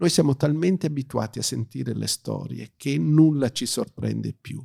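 In a dry, close sound with no echo, a man with an English accent talks at a medium pitch, his pitch swinging very widely. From South Africa, Johannesburg, to Italian parents. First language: English (speaking Italian). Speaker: pitch trainer. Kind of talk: interview. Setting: recorded at a writing school event. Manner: hesitant, with fillers.

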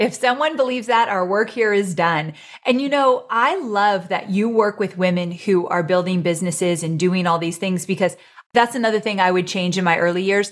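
A woman with an ordinary speaking voice talks at a medium pitch. Her pace is fairly quick, and her pitch varies in an ordinary way. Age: 40s. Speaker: online business entrepreneur and author. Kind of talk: casual chat.

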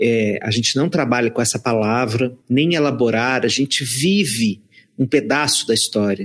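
A plain, everyday voice from a man at medium pitch, with ordinary pitch variation, very even loudness and a moderate pace, in a very clean recording with a silent background. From Brazilian sertão. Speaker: psychologist and author.

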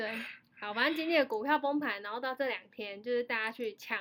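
A woman's high voice in a Taiwanese accent, at a fairly quick pace with ordinary pitch variation. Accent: Taiwanese Mandarin. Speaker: podcast host. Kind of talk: casual chat. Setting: remote online recording from home. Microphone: remote recording, odd sound quality with echo.

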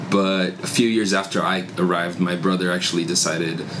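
Noticeable background noise sits behind the speaker. The pace is fairly quick. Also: man. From Brazil. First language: Portuguese. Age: 20s. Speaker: church worker. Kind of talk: casual interview.

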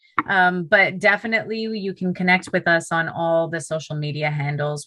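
The pace is moderate. A woman is speaking with a Canadian accent. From Canada, Toronto. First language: Punjabi. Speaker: middle school teacher, podcast host. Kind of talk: podcast interview.

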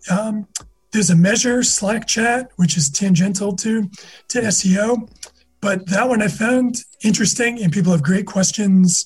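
A man with an American accent speaks at a fairly slow pace in a high pitch. His pitch varies in an ordinary way. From US Northeast (Massachusetts). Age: 50s. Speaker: SEO manager. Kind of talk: casual interview.

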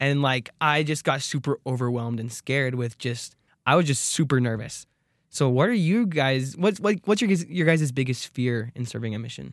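In an American accent, a man talks at a moderate pace with a medium pitch, ordinary pitch variation and a normal speaking voice, on a very clean recording with a silent background. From Arizona. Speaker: student radio host. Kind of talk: interview. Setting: radio studio.

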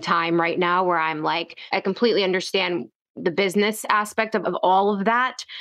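In an ordinary speaking voice, a woman talks at a fairly quick pace with hardly any pauses, her medium pitch showing ordinary variation and her loudness very even. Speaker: podcast host. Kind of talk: interview conversation.

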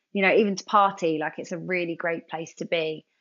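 In a London accent, a woman talks at a fairly quick pace with medium pitch and ordinary pitch variation. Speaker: TV presenter and former dancer. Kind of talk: casual interview chat.

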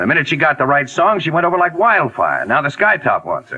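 A fast, fairly high-pitched put-on character voice from a man, with big pitch swings, a bright, sharp tone and a slightly husky edge.

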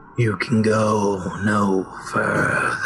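Over clear background noise, a man puts on a rumbling character voice at a fairly low pitch. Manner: stern, blocking.

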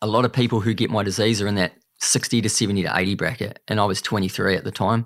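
Speaking with a New Zealand accent, a man talks. His pace is very fast. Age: 30s. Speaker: cancer survivor and speaker. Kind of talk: casual chat.

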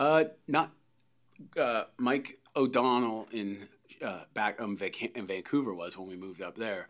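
Recorded very cleanly against a silent background, a man with an ordinary speaking voice and medium pitch talks at a fairly slow pace, with ordinary pitch variation and big swings in loudness. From Canada. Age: 40s. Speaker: golf swing coach. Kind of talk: interview.

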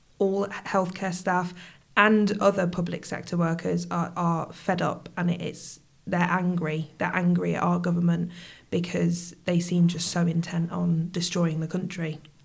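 A woman with a Midlands accent talks at a fairly slow pace in a fairly low pitch, somewhat breathy and with monotone, flat intonation. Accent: British English, Midlands. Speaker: nurse and union rep. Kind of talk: interview conversation. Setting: studio.

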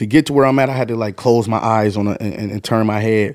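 An unremarkable speaking voice from a man with an American accent, medium in pitch, with ordinary pitch variation. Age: 30s. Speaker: rapper. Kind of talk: casual interview.

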